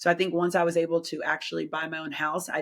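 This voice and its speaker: Animated and at a fairly quick pace, a woman speaks with an American accent. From Washington DC. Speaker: fitness trainer and Pilates instructor. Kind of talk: casual interview. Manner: loud.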